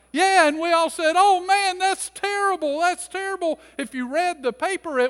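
With an American accent, a man speaks at a fairly slow pace and an extremely high pitch, in a dry, close sound with no echo. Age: 50s. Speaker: pastor. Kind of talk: sermon. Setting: church.

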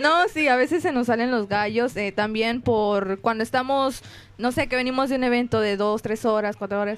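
A woman's ordinary speaking voice, fairly high in pitch with ordinary pitch variation, at a moderate pace and very even loudness. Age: 20s. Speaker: music student and folk singer. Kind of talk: casual chat. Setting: restaurant, live stream.

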